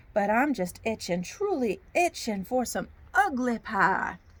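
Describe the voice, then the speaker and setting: A woman performs a put-on character voice, fairly high in pitch. She moves at a fairly slow pace in a sing-song manner. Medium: read story. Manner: folksy, sing-song.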